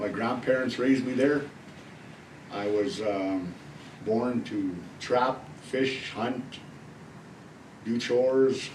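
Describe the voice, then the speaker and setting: At a very slow pace, a man speaks with medium pitch and ordinary pitch variation. Long, frequent pauses and audible room echo mark the clip. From northern Alberta, Canada (Cree community). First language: Cree. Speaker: youth worker and dance troupe leader. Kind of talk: interview testimony.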